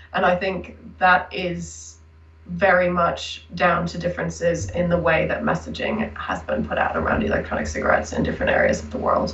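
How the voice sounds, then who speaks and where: Speaking with an American accent, a woman talks at a fairly quick pace. The room echoes audibly, and background noise is noticeable. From United States. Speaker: researcher. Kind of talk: interview.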